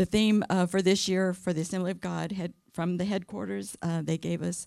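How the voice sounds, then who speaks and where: A woman with an American accent on a very clean recording with a silent background. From California. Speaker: women's ministry speaker. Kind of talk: sermon. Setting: church. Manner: soft-spoken.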